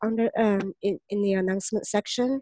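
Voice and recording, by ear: The sound is dry and close with no echo, and the tone is dark and mellow. Speech moves at a moderate pace with fairly even intonation. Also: woman.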